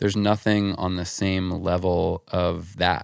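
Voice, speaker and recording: The very clean recording has a silent background. A man with an American accent speaks in a very deep, low pitch with fairly even intonation. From New Jersey. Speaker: podcast host and touring professional. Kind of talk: casual interview chat. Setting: hotel room in New York City.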